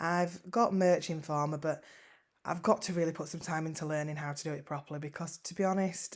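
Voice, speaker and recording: Speaking very fast with a fairly strong Yorkshire accent, a woman uses a fairly low pitch and ordinary pitch variation in a very clean recording with a silent background. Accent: northern English (Yorkshire), fairly strong. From West Yorkshire, northern England (Huddersfield). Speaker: online seller vlogger. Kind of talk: casual vlog update. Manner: hesitant, frequent ums and repetitions.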